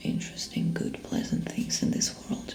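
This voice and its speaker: Someone whispers at a moderate pace while music plays in the background. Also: woman. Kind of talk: ASMR role play as a therapist. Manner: soft-spoken. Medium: role play.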